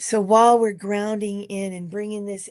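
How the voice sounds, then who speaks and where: A woman's voice, dry and close with no echo, over a quiet background. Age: 60s. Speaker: meditation leader. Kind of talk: guided meditation. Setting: live stream. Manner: soft-spoken.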